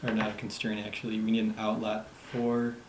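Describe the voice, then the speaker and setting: The speaker talks quietly at a moderate pace, with noticeable background noise. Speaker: app development tutor. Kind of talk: screen-recorded coding tutorial. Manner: quiet, low volume; casual.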